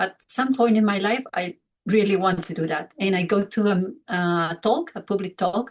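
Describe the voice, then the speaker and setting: A woman's medium-pitched, somewhat breathy voice at a moderate pace, with ordinary pitch variation. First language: Spanish or Catalan. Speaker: grief counselor. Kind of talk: talk to small online group. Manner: halting.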